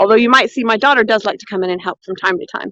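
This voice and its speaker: A woman speaks loudly. The sound is dry and close, with no echo. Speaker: cooking and foraging livestreamer. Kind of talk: live stream chat. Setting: outdoors. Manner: animated.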